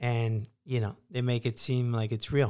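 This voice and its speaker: A man at a medium pitch uses a normal speaking voice at a moderate pace on a very clean recording with a silent background. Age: 40s. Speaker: podcast host and stand-up comedian. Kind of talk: casual chat.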